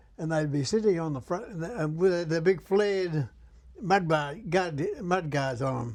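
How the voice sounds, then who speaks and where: A man with a strong Australian accent, high-pitched, with ordinary pitch variation. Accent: broad Australian. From Australia, Sydney (Liverpool, NSW). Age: 80s+. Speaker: war veteran. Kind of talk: casual interview, reminiscing. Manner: halting.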